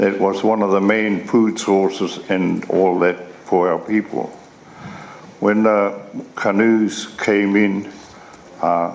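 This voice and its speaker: Amid noticeable background noise and audible room echo, a man speaks very slowly in a fairly low pitch with monotone, flat intonation. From New Zealand, Northland. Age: 70s. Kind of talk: testimony. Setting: formal hearing. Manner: halting.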